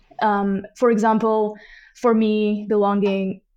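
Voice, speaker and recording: Medium-pitched woman's voice, dark and mellow in tone, over a quiet background. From Georgia (Tbilisi). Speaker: inclusion specialist at an employment cooperative. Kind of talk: interview.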